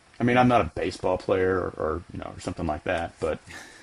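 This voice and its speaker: Speaking at a fairly quick pace, a man with a very deep, low pitch shows ordinary pitch variation while noticeable background noise carries on behind him. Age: 60s. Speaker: software company CEO. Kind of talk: podcast interview.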